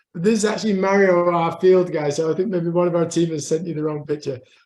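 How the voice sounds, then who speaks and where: Talking at a very fast pace with a northeast English accent, a man uses a high pitch and fairly even intonation. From northeast England. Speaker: conservation scientist. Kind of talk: lecture. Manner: halting.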